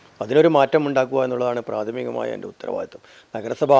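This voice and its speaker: Ordinary pitch variation colors this man's delivery in a plain, everyday voice. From Kerala, Kannur district. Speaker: retired police officer, local election candidate. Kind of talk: interview.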